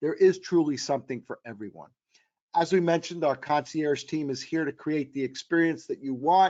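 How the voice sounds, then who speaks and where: A man speaks in an ordinary speaking voice at a moderate pace. His pitch is fairly high, with ordinary pitch variation. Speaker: travel company executive presenting a webinar. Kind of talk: webinar presentation. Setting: online webinar.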